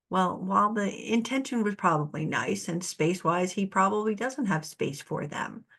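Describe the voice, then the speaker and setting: Hardly pausing at all, a woman with a normal speaking voice talks at a moderate pace and medium pitch with lively intonation. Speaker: narcissistic abuse recovery coach. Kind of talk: solo talk to camera. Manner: casual, conversational with laughs.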